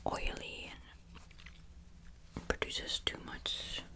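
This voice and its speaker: A whisper comes through at a fairly slow pace, with noticeable background noise behind it. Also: woman. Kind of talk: ASMR makeup ramble, casual talk to camera. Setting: home recording with a squeaky chair.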